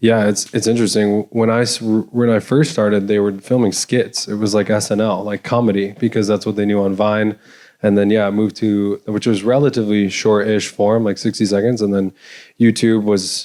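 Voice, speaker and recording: A man speaks at a fairly quick pace in a dark, mellow tone with fairly low pitch. His intonation is monotone and flat, and the recording is very clean with a silent background. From Michigan. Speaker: content creator. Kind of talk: panel talk. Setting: stage with audience.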